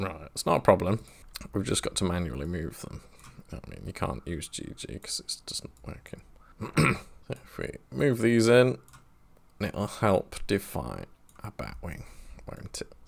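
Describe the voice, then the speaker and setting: A man with a very deep, low pitch and vocal fry speaks at a fairly slow pace, with very wide pitch swings, big swings in loudness and long, frequent pauses. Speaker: 3D modeling tutorial youtuber. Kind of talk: tutorial. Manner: sometimes mumbles.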